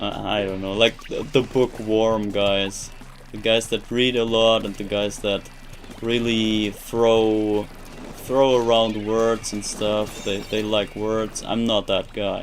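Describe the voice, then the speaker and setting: Noticeable background noise sits behind a man with a German accent. He speaks at a very slow pace and fairly low pitch, in a monotone, flat intonation. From Germany. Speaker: video game streamer. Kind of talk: live stream chat while gaming. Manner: halting, repeats words; flat, robotic.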